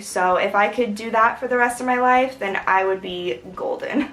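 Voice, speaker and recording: There is noticeable background noise as a woman talks at a moderate pace with ordinary pitch variation. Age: 20s. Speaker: writer. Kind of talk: casual vlog update.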